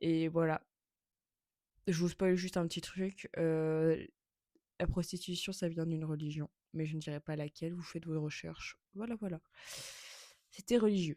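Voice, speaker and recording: Fairly slow and marked by long, frequent pauses, a woman's fairly low, dark and mellow voice carries fairly even intonation in a dry, close sound with no echo. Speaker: podcaster. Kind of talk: casual chat. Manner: halting.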